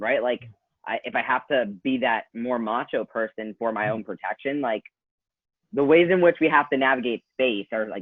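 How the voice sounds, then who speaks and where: A man talks in an ordinary speaking voice at medium pitch. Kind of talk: group discussion.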